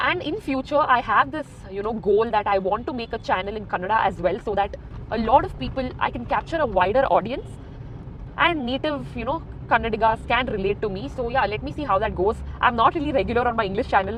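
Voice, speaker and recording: A woman speaks very fast with lively intonation at a fairly high pitch, with noticeable background noise behind her. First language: Konkani. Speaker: vlogger. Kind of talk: casual vlog talk while driving. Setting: in a car.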